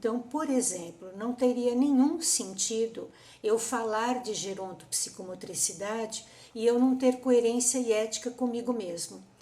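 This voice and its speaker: Audible room echo surrounds a woman who talks fairly slowly in a fairly high pitch with ordinary pitch variation. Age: 60s. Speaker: psychomotor therapist. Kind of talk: conference talk.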